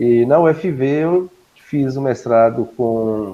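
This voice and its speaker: A man with a dark, mellow tone, medium pitch and ordinary pitch variation. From Brazil, Minas Gerais. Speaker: agronomist and university professor. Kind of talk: guest lecture.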